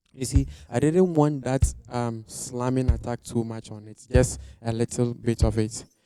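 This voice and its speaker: A man's medium-pitched voice at a fairly slow pace with hardly any pauses, ordinary pitch variation and big swings in loudness, with music in the background. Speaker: live audio engineer. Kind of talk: tutorial. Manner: hesitant, with fillers.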